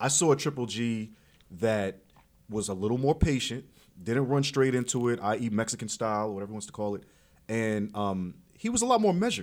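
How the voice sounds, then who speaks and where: This man talks at a fairly quick pace in an animated tone, his medium pitch moving with ordinary variation. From New York. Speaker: boxing and MMA podcast host. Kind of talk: casual interview, energetic banter. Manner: animated, loud, trash-talking.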